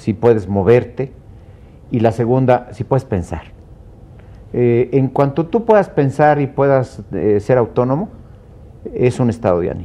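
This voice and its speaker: Long, frequent pauses break up a dark, mellow voice speaking at a fairly slow pace with ordinary pitch variation. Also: man, medium pitch for a man. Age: 70s. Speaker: law professor. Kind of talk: TV panel discussion.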